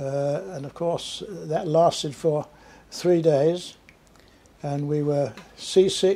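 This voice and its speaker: With a Cumbrian accent, a man speaks at a very slow pace with long, frequent pauses. His tone is dark and mellow, his pitch fairly high, and his intonation fairly even. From Carlisle, England. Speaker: war veteran. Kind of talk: interview answer. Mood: reflective, recalling memories. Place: home room.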